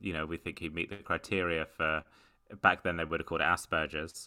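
In a British accent, a man speaks at a very deep, low pitch with a bright, sharp tone and monotone, flat intonation. The recording is very clean, with a silent background. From UK. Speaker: stand-up comedian. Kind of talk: casual interview chat. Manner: hesitant, many fillers.

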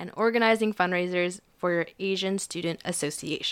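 A woman at medium pitch with a normal speaking voice at a fairly quick pace, in a very clean recording over a silent background. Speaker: podcast co-host, university student. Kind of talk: casual chat.

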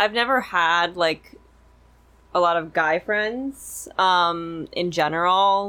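This woman has a plain, everyday voice. It sits fairly low in pitch and carries lively intonation. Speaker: girlfriend of a host, guest. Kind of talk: casual chat.

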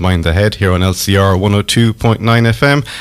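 A man is speaking. He has an Irish accent. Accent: Irish (Galway). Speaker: community radio host. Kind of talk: radio interview. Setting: radio studio.

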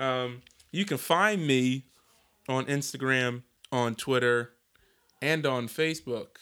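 A man at medium pitch with a bright, sharp tone, very even loudness and ordinary pitch variation, at a very slow pace with long, frequent pauses, on a very clean recording with a silent background. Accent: American. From Philadelphia / New Jersey, US. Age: 20s. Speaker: podcast host. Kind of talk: casual chat.

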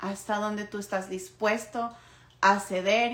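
A woman is speaking. Her pace is fairly slow. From Ecuador. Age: 20s. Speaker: podcast host. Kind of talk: solo monologue podcast.

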